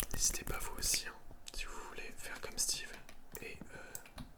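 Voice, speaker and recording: Whispering, a man talks at a fairly slow pace with long, frequent pauses. There is noticeable background noise. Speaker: ASMR content creator and gamer. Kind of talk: casual talk to camera, gaming commentary.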